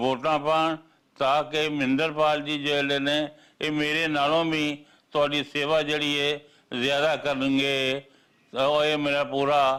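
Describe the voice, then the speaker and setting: This very clean recording, with a silent background, captures a man at a fairly high pitch. His tone is bright and sharp, and his intonation stays monotone and flat. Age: old. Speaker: politician. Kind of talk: political appeal. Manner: halting.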